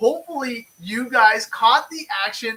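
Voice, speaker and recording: The voice is a man's, raised and projected. It is high in pitch with a bright, sharp tone. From Canada. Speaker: RC racing podcast host. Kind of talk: live-streamed casual chat. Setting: home studio, live stream.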